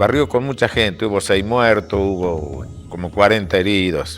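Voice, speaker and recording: The speech is fairly slow with ordinary pitch variation, and music plays in the background. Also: man. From Argentina, Tucumán. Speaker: radio announcer. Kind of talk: storytelling. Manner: conversational.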